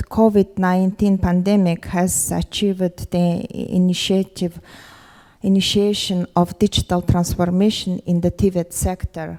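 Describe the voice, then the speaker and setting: In a Mongolian accent, a dark, mellow voice speaks at a fairly slow pace with monotone, flat intonation, recorded dry and close with no echo on a very clean recording with a silent background. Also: woman. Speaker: government education official. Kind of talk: conference panel presentation. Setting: conference forum with audience. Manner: halting, many fillers.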